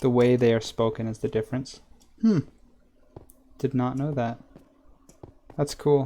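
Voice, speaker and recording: In an American accent, a man speaks at a moderate pace with medium pitch, fairly even intonation, a dark, mellow tone, and long, frequent pauses. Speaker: gaming streamer. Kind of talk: live stream gameplay chat. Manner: casual, chatty.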